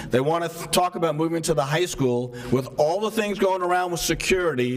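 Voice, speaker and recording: Amid noticeable background noise and audible room echo, a man with a fairly high pitch talks at a fairly quick pace. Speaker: resident speaking at public meeting. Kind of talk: public comment. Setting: town hall meeting.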